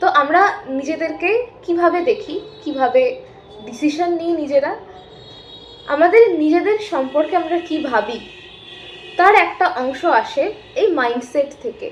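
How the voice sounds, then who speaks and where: A woman with an extremely high pitch and lively intonation speaks over noticeable background noise. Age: 20s. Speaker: psychology student and self-help YouTuber. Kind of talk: educational talk. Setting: rented room at home.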